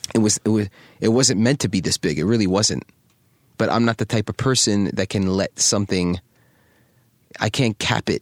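An animated man with a New York accent, a fairly low pitch and ordinary pitch variation, at a moderate pace with long, frequent pauses, very even loudness and a dry, close sound with no echo. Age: 30s. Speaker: fashion designer and entrepreneur. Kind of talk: casual interview conversation. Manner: animated, frequent repetitions and fillers.

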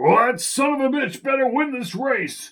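Putting on a character voice, a man growls at an extremely high pitch and a moderate pace. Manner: gruff, impatient.

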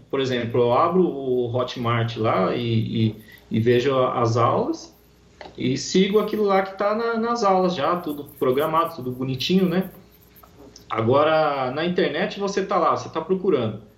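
A man speaks in a fairly high pitch. His voice makes very wide pitch swings. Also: fairly slow pace. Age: 30s. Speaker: heavy metal guitarist, course student. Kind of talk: interview.

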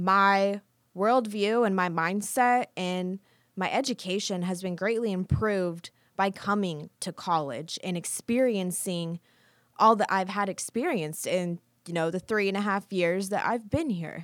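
A woman with an American accent, an ordinary speaking voice at medium pitch, fairly slow pace and ordinary pitch variation, on a very clean recording with a silent background. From rural Kansas. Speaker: student podcast host. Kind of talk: scripted monologue.

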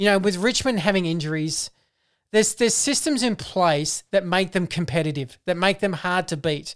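Lively intonation at a moderate pace, with an Australian accent. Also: woman, medium pitch for a woman, very clean recording, silent background. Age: 40s. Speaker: football podcast co-host. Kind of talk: casual chat.

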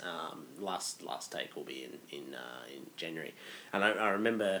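An Australian man with a very deep, low pitch talks with lively intonation and big swings in loudness. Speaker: podcast co-host, finance consultant. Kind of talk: casual chat. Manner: halting, repetitive fillers.

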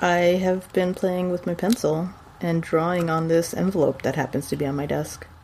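Speaking with an American accent at a fairly low pitch, a woman keeps a moderate pace and fairly even intonation over noticeable background noise. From Texas. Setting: video call.

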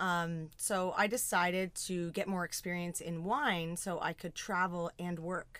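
A woman with a Canadian accent speaks in a normal speaking voice, her fairly low pitch carrying fairly even intonation at a fairly slow pace with hardly any pauses. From Ontario, Southern Georgian Bay. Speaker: winemaker. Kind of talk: casual chat. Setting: studio.

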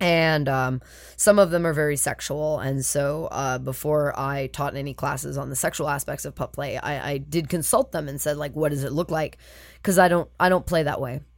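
On a very clean recording with a silent background, a woman with vocal fry speaks at a moderate pace in a very deep, low pitch. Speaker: puppy play community organizer. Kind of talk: casual chat.

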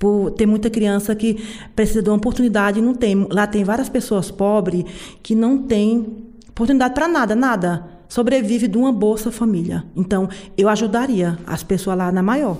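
The voice has a dark, mellow tone and ordinary pitch variation. Loudness stays very even at a moderate pace. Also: woman, fairly high pitch for a woman. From rural Brazilian interior. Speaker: working-class city resident. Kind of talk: interview.

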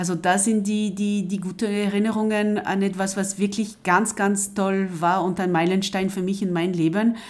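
Speaking with a French accent, a woman keeps a moderate pace with hardly any pauses, a medium pitch and monotone, flat intonation. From coastal France. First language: French (speaking German). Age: 50s. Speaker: translator and project coordinator. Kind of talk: interview. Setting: at home. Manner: hesitant, many fillers and repetitions.

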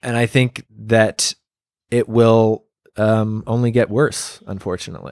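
A man with a normal speaking voice talks at a fairly slow pace and medium pitch. The recording is very clean, with a silent background and a dry, close sound with no echo. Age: 20s. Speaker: podcast host. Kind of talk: casual interview. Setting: guest's backyard.

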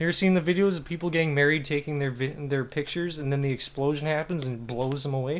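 The man talks at a very fast pace. His fairly high voice keeps a fairly even intonation. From Kelowna, Canada. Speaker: comedian, podcast co-host. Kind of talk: casual chat.

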